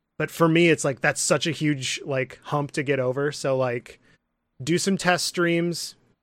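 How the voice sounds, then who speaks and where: The recording is very clean, with a silent background, as a man speaks slowly in an American accent. He has a plain, everyday voice, fairly high in pitch, with fairly even intonation and a fairly slow pace. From Michigan, US Midwest. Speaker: podcaster and content creator. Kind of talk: casual chat.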